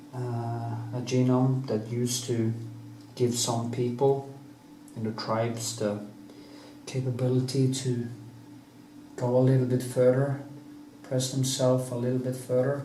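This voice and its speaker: Speaking with a non-native accent, a man talks in monotone, flat intonation at a fairly slow pace with long, frequent pauses, amid noticeable background noise and audible room echo. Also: medium pitch for a man. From Norway. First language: Norwegian. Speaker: painter. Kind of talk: casual monologue; painting tutorial. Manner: halting.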